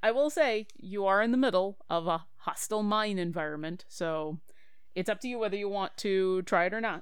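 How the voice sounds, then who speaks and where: With a plain, everyday voice, a woman speaks at a moderate pace and medium pitch with ordinary pitch variation. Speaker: dungeon master. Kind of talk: tabletop roleplaying game session, casual.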